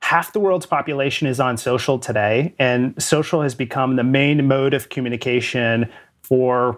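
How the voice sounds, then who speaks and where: A man speaks at a medium pitch. It is an ordinary speaking voice. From Canada. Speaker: sales executive. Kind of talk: interview.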